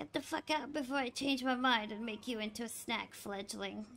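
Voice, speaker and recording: A put-on character voice, gravelly and fairly high in pitch, moving at a moderate pace. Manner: crude, contemptuous, menacing.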